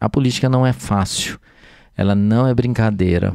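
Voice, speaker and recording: Recorded very cleanly with a silent background, a man with a fairly low pitch and a dark, mellow tone talks at a moderate pace with ordinary pitch variation. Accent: Minas Gerais. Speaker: physician and city councillor. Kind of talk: casual podcast chat. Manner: hesitant, many fillers.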